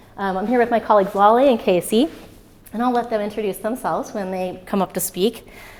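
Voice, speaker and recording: There is noticeable background noise behind a woman speaking with lively intonation. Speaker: physicist, former graduate student, speaker. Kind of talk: public talk. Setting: stage with audience. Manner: loud.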